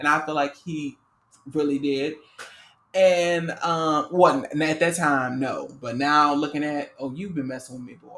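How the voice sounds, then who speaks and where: A fairly slow delivery with a New Orleans accent. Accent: New Orleans Southern US. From US South, New Orleans. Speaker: podcast co-host. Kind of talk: casual chat. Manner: halting, many fillers.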